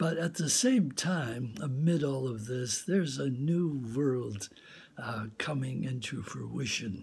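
Somewhat breathy, a man speaks at a very slow pace. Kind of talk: inspirational talk and reading. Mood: earnest, calm, reflective. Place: home room. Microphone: phone near.

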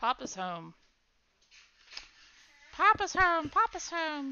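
A woman's put-on character voice, extremely high in pitch, at a very slow pace. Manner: repetitive, grunting, annoying.

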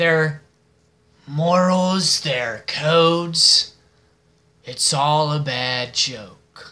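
Putting on a character voice at a fairly high pitch, a man speaks at a very slow pace with long, frequent pauses. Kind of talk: film monologue audition. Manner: mocking, menacing, slow and deliberate.

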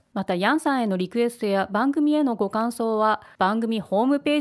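In a normal speaking voice, a woman talks at a fairly quick pace and a fairly high pitch with lively intonation. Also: very clean recording, silent background. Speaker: podcast host. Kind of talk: scripted introduction and listener mail. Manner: gentle, whimsical.

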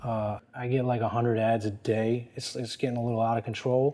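A man's voice at a moderate pace, with monotone, flat intonation. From US Northeast (New Jersey). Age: 40s. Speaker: fashion consultant and former lawyer; former lawyer. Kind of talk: interview. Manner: casual, many fillers. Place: office. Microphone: lapel.

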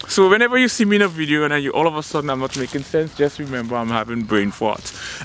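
With a playful tone, a man races along at a very fast pace and a fairly high pitch, swinging his pitch very widely, in a dry sound with no echo and light background noise. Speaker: actor. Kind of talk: comedic monologue to camera. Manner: casual, playful. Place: garden. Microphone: phone near.

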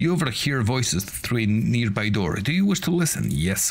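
Here the speaker uses a natural reading voice.

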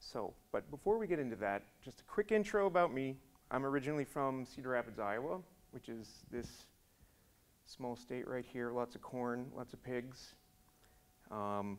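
This man speaks at a moderate pace. He leaves long, frequent pauses. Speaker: conference speaker. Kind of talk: conference talk. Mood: relaxed, joking. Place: hall. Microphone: podium.

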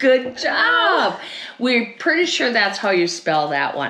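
A woman speaks slowly at a fairly high pitch, her tone bright and sharp. Her pitch swings very widely over faint background noise.

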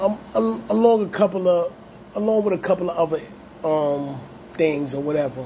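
The speaker has an American accent and leaves long, frequent pauses. Light background noise is present. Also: man, high pitch for a man, moderate pace. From Brooklyn, New York (Brownsville); Brooklyn, New York. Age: 40s. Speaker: YouTube channel host. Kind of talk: monologue video commentary. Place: home room. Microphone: phone near.

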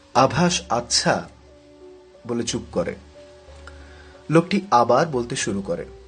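A man's lively intonation comes through over music in the background. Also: medium pitch for a man. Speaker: storyteller narrator. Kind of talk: horror story narration.

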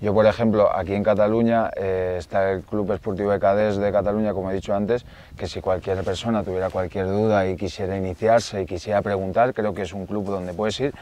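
In a dry sound with no echo, a man speaks at a fairly low pitch with fairly even intonation and hardly any pauses. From Catalonia, near Barcelona. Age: 30s. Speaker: woodcock hunter; guest. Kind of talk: casual interview chat. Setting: outdoors in the Pyrenees. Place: forest.

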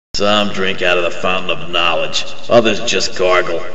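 A cartoonish character voice from a man, very deep and low in pitch, at a moderate pace with slight echo. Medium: puppet. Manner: sarcastic, wisecracking.

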